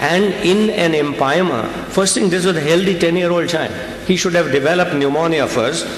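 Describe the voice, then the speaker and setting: This man talks at a fairly quick pace in a fairly high voice. The recording has audible room echo and noticeable background noise. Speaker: pediatrician. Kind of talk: medical conference lecture. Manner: fast.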